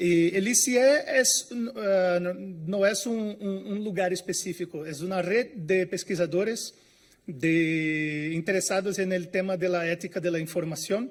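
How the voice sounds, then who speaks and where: With a Brazilian accent, a man speaks fairly slowly at a high pitch with ordinary pitch variation. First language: Portuguese (speaking Spanish). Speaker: information science researcher. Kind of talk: conference talk. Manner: halting, many fillers.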